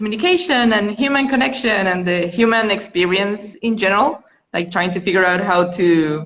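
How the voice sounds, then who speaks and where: A woman's medium-pitched voice with lively intonation, in a Venezuelan accent. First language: Spanish. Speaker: mother. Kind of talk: casual chat.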